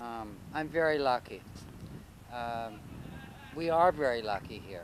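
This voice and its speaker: An ordinary speaking voice, a man's of medium pitch with a Canadian accent, goes at a fairly slow pace. His intonation is lively and his loudness swings widely. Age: 60s. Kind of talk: street interview.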